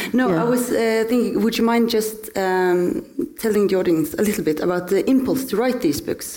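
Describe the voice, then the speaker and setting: Over noticeable background noise, a woman speaks at a fairly high pitch with lively intonation and very even loudness. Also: moderate pace. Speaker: interviewer, critic. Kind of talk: onstage interview conversation. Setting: stage with audience.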